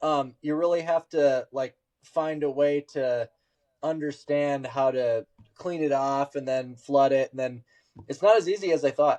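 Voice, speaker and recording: Speaking at a fairly slow pace with fairly even intonation, a man with an American accent has a dark, mellow tone in a dry, close recording with no echo. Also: fairly high pitch for a man. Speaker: podcast host. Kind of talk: casual chat.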